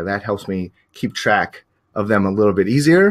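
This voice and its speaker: The man's voice sits fairly low in pitch. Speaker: professional photographer and teacher. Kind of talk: webinar presentation. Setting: live online stream. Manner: fast; hesitant with many fillers.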